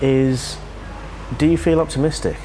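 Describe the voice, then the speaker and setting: Noticeable background noise runs behind this recording. A man talks at a moderate pace. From English Midlands, Birmingham. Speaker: podcast host. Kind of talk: casual interview.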